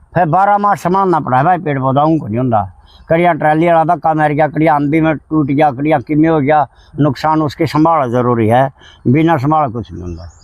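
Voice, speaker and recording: Pitch varies in an ordinary way across an unremarkable speaking voice. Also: man, fairly high pitch for a man. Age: 60s. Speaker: village environmentalist, tree planter. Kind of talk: interview.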